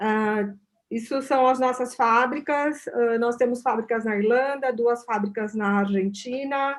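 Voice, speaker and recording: A woman speaks in a high voice with fairly even intonation. Her pace is fairly slow. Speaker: company product representative. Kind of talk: product presentation. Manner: halting in English.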